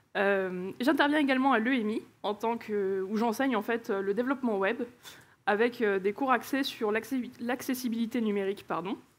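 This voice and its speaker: A woman speaks at a moderate pace with a fairly high pitch. Her pitch shows ordinary variation. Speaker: conference speaker, engineering manager. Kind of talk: conference talk. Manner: hesitant, many filler sounds.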